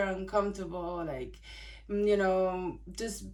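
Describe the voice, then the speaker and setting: A woman's monotone, flat delivery with audible room echo. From Italy. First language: Italian. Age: 20s. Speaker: vlogger. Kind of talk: casual personal vlog. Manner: hesitant, many fillers.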